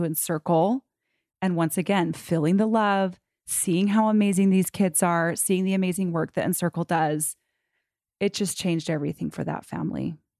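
With an unremarkable speaking voice, a woman talks at a fairly low pitch and moderate pace, with fairly even intonation, in a dry, close sound with no echo and a quiet background. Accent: American. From Utah, US. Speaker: photographer. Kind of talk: interview.

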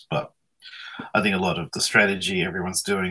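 In an Australian accent, a man talks at a fairly quick pace. His pitch is very deep and low, and his tone is bright and sharp. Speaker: media industry publisher. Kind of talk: radio interview. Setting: video call.

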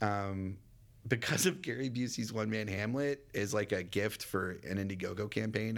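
In an American accent, a man with a plain, everyday voice and fairly low pitch talks at a moderate pace with ordinary pitch variation, on a very clean recording with a silent background. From Texas, Dallas. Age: 30s. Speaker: actor and comedian. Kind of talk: casual interview.

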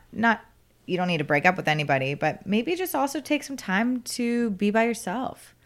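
A woman with an American accent speaks at a moderate pace in a fairly high pitch, her voice swinging very widely in pitch on a very clean recording with a silent background. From US South, South Florida. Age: 20s. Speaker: podcast guest. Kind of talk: casual chat.

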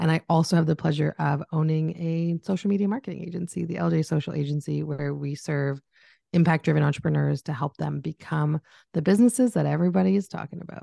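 A woman with a Canadian accent, a very deep, low pitch and a dark, mellow tone, at a very fast pace with ordinary pitch variation, in a dry, close sound with no echo and a quiet background. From Canada. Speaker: business coach and social media agency owner. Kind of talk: casual interview chat.

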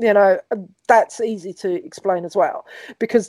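This woman has a London accent and a fairly high pitch with ordinary pitch variation. Her tone is dark and mellow, and the sound is dry and close with no echo. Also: very clean recording, silent background. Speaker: podcast host. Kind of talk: casual chat.

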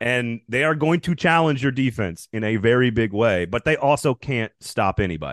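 A man with an American accent speaks at a moderate pace in a normal speaking voice, his medium pitch carried by lively intonation. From Wisconsin and Texas. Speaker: college football writer and podcaster. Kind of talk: casual sports talk interview.

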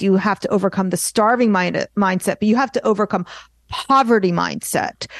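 At a moderate pace, a woman with a plain, everyday voice speaks at a fairly high pitch, dry and close with no echo. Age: 50s. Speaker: artist and art business coach. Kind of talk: casual chat.

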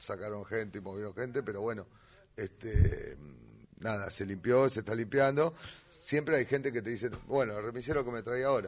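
Speaking in a normal speaking voice, a man keeps a moderate pace and a medium pitch, his pitch varying in an ordinary way. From Greater Buenos Aires (south, conurbano). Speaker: tango musician and festival organizer. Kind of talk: casual chat. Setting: studio.

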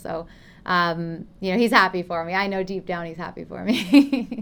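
This woman has an unremarkable speaking voice with a Canadian accent, talking at a moderate pace on a very clean recording with a silent background. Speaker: professional tennis player. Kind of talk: interview.

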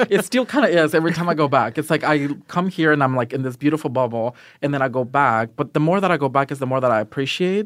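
Speaking at a very fast pace with hardly any pauses, a man has a fairly high pitch and ordinary pitch variation. The recording is very clean, with a silent background. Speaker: casting director. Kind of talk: casual interview chat.

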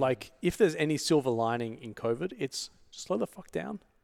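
The man's lively intonation comes through with an Australian accent in a dry, close sound with no echo. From Australia, Sydney. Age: 40s. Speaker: entrepreneur. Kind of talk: casual chat.

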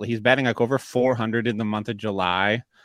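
The recording is very clean, with a silent background. A man with an unremarkable speaking voice talks at a medium pitch and a fairly quick pace. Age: 30s. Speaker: fantasy baseball podcast host. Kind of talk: casual chat.

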